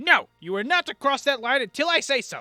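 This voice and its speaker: Over faint background music, a man uses a put-on character voice pitched extremely high, talking at a fairly quick pace. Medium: actual play. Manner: stubborn, literal-minded.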